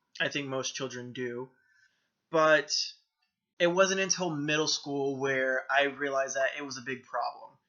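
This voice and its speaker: Pausing long and often, a man with an American accent speaks at a fairly high pitch with fairly even intonation. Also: moderate pace. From US South, Florida. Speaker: vlogger. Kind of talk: personal testimony vlog. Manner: hesitant, many filler ums. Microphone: poor camera quality.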